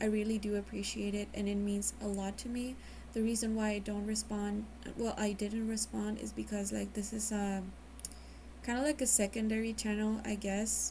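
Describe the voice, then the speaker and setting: A woman talks at a moderate pace. She has a Mexican accent. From Mexico. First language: Spanish. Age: 20s. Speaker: vlogger. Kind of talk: personal testimony. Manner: halting.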